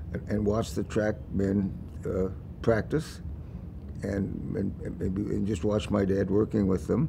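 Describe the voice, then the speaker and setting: Fairly low in pitch, a man speaks fairly slowly in a dark, mellow tone with fairly even intonation against noticeable background noise. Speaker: interviewee. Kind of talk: interview answer. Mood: warm, reflective, occasional laughs. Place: hall. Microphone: lapel.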